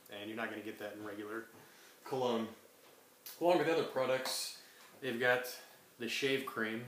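Speaking at a moderate pace, a man pauses often and at length, his loudness swinging widely, with audible room echo and light background noise. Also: medium pitch for a man, ordinary pitch variation. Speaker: co-presenter, essential oils distributor. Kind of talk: educational class presentation. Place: home room. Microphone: webcam.

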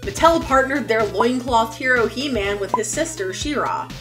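A woman speaks at a fairly quick pace. Clear music plays in the background. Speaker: toy vlogger. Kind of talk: scripted commentary on toy history. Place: home room.

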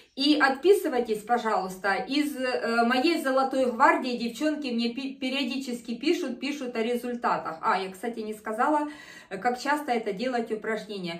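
Lively intonation with audible room echo. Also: woman. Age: 50s. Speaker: fitness video host; fitness home instructor. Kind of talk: exercise tutorial. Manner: animated. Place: home room. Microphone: camera far.

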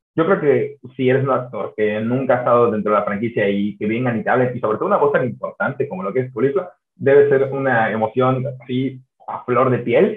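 Against a quiet background with audible room echo, the speech runs at a fairly quick pace. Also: man. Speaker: podcast host. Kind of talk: interview question. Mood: friendly, smiling. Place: home room. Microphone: video call.

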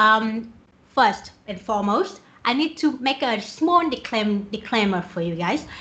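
A woman with a Vietnamese accent, a fairly high voice, lively intonation and a fairly slow pace. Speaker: software developer; conference speaker. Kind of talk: conference talk. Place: home room. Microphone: webcam.

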